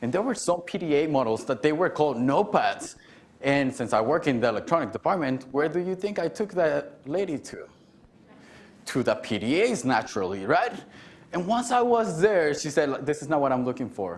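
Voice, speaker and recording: Fairly quick speech from a man with a Mexican accent, fairly high in pitch, with very wide pitch swings and vocal fry. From Mexico City, later Garden City, Kansas. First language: Spanish. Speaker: keynote speaker, alumnus. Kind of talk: keynote speech.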